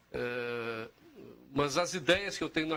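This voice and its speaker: Bright and sharp in tone, a man talks with lively intonation at a medium pitch. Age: 60s. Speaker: think tank founder. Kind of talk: TV interview.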